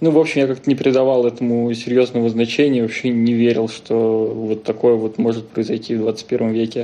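Speaking at a moderate pace with hardly any pauses, the man has a medium-pitched, dark, mellow voice and a monotone, flat intonation. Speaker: scientist. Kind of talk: casual chat.

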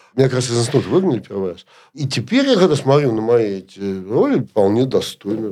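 A man speaking at a medium pitch. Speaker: media executive and producer. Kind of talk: interview.

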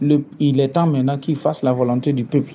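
Pitched fairly high, a man's voice moves at a fairly quick pace. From Burkina Faso. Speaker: activist. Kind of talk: interview. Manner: animated.

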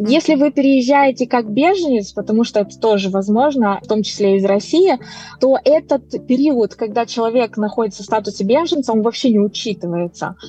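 The woman talks at a fairly quick pace with a fairly high pitch and very even loudness. Noticeable background noise can be heard. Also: lively intonation. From Moldova. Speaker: immigration consultant. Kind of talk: interview.

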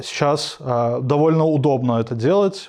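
Over a quiet background, a man with a plain, everyday voice talks at a fairly slow pace with a fairly high pitch. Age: 20s. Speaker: UX/UI designer and instructor. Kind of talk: casual interview.

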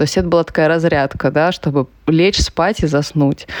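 This woman talks at a fairly quick pace, and the sound is dry and close with no echo. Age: 30s. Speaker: entrepreneur and amateur runner, blogger. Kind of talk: casual interview.

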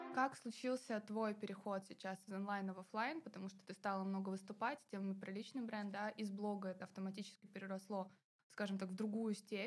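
Somewhat breathy, a woman speaks at a medium pitch and a fairly quick pace, her intonation fairly even. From Kaliningrad, Russia. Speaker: podcast host. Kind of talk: interview.

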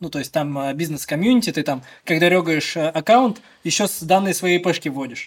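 The man's voice is high in pitch and varies in an ordinary way. He speaks at a fairly quick pace. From Bashkortostan, Russia (village west of Ufa). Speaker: esports club co-owner and consultant. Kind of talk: casual interview. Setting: office studio, video podcast.

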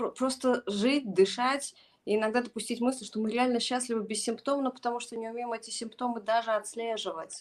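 This woman's voice sits fairly high and stays monotone and flat. She keeps a moderate pace. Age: 40s. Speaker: psychologist and educator. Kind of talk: casual chat.

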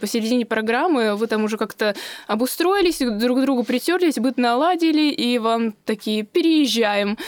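Lively intonation in a woman's high voice. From Russia, Moscow. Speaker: social media creator and office secretary. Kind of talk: interview, casual chat. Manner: animated, laughing.

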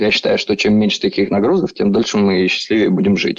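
The sound is dry and close without any echo. A man is the one talking. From southern Russia, Rostov. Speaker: entrepreneur, emigrant. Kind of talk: casual interview.

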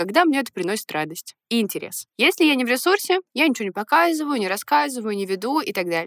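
A woman talks at a fairly quick pace with very wide pitch swings. The sound is dry and close with no echo. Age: 30s. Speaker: podcast co-host. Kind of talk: casual chat.

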